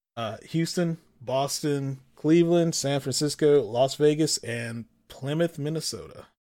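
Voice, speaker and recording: Fairly high in pitch with a dark, mellow tone, a man speaks at a fairly slow pace. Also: ordinary pitch variation. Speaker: podcast host. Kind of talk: casual banter about gaming. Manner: casual, joking.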